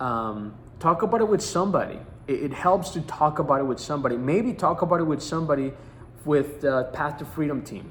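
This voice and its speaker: Lively intonation marks this man's somewhat breathy speech. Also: fairly high pitch for a man, fairly quick pace. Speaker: life coach. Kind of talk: motivational teaching talk. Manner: halting, repeats words.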